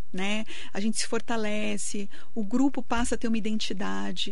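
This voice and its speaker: The voice belongs to a woman with a fairly high pitch. Noticeable background noise sits behind her. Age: 40s. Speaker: lawyer and municipal secretary. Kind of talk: radio interview. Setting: radio studio.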